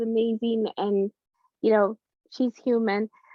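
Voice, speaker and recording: In a Spanish accent, a woman with a fairly high voice talks at a fairly slow pace. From Latin America, immigrated to US at age five. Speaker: business founder and therapist. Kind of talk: interview.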